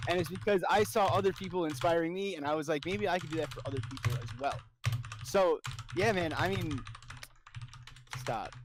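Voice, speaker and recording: A loud, high-pitched man with an animated tone and lively intonation, at a fairly quick pace with long, frequent pauses, over noticeable background noise. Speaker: streamer. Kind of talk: casual chat.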